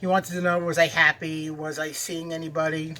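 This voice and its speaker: A man with a New York accent projects a raised voice at a moderate pace. The tone is bright and sharp. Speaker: cooking video host. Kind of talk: casual storytelling and cooking chat. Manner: halting, with fillers.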